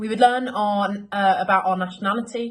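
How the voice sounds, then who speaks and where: Here a woman talks with a British accent at a moderate pace. Her voice is somewhat breathy, with fairly even intonation. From London, England. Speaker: local resident reminiscing. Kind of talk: scripted narration.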